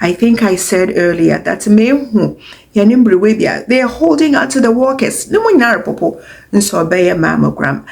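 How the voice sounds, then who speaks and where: A woman of medium pitch talks fairly slowly with lively intonation, vocal fry and very even loudness. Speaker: mammography technologist. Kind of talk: health talk.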